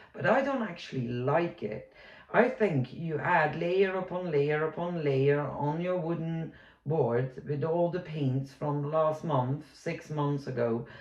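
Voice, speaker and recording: Against noticeable background noise, the words come out at a very slow pace. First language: not English. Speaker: amateur painter and art vlogger. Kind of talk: casual tutorial vlog.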